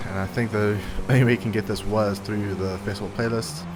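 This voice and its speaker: In a room with audible echo and noticeable background noise, a man speaks at a fairly quick pace. His pitch is fairly low and his intonation fairly even. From South Africa. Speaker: gaming youtuber. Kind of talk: gameplay commentary. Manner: casual.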